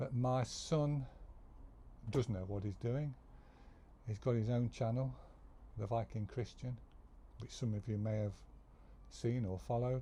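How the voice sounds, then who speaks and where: Speaking with an English accent, a man uses a medium pitch and a dark, mellow, somewhat breathy tone. His pace is fairly slow, with long, frequent pauses. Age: 70s. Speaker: retired worker sharing life stories. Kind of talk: casual monologue. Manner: halting.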